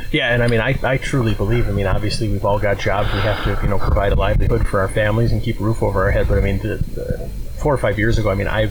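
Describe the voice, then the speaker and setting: Against noticeable background noise, a man talks at a very fast pace with an Upper Midwest US accent. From Wisconsin. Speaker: archery equipment business owner. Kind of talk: casual interview. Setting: outdoors at archery club.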